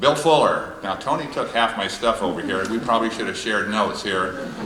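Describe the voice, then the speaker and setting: Over noticeable background noise and audible room echo, a man with an American accent speaks at a fairly quick pace, his medium pitch carried by lively intonation. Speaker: hall of fame speaker, former athlete. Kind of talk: tribute speech. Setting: stage with audience. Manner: fast.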